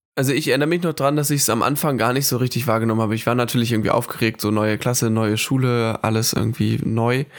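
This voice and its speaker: A very fast male voice at medium pitch, with fairly even intonation, very even loudness and hardly any pauses, in a very clean recording with a silent background. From northern Germany (Hamburg, Föhr). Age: 20s. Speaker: student, podcast co-host. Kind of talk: casual chat.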